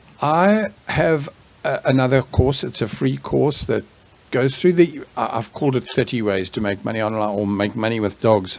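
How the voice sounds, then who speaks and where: A man's medium-pitched voice moves at a moderate pace with lively intonation, noticeable background noise audible behind him. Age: 60s. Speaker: small business and online marketing instructor. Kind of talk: tutorial. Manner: halting, many fillers and restarts; casual.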